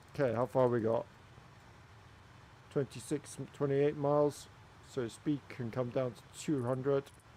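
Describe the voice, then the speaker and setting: In a Swansea accent, a man speaks at medium pitch with a dark, mellow tone and fairly even intonation. His pace is moderate, broken by long, frequent pauses. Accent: Welsh English, Swansea area. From Wales. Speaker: flight sim streamer. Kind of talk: live gameplay commentary while chatting with viewers. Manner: casual, halting with fillers.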